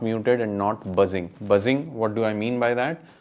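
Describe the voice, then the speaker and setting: Here a man talks with an Indian accent. His pace is moderate. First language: Hindi. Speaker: guitar teacher. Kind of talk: tutorial.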